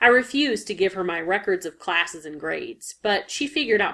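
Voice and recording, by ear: Reading aloud in a natural voice, the speaker lets the intonation run lively.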